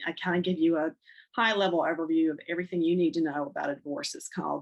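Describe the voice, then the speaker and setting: Speaking very fast, a woman has a North Carolina accent. Her pitch is fairly low, with ordinary pitch variation. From North Carolina (Charlotte). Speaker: divorce counselor and podcast host. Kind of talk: podcast monologue, promoting services. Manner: hesitant, many fillers.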